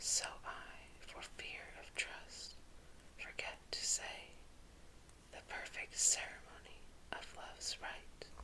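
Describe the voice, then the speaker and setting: Whispering in a gentle, soothing tone at a very slow pace, with noticeable background noise. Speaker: ASMR creator / whisper reader. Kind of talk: ASMR poetry reading for sleep. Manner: whispered, gentle, soothing.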